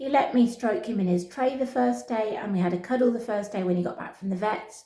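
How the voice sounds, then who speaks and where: Speaking at a fairly quick pace in a British accent, a woman has a fairly high pitch and ordinary pitch variation, with audible room echo and noticeable background noise. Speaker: pet rabbit vlogger. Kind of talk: casual vlog talking to camera and pet rabbit. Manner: switches between camera voice and soft pet-talk voice.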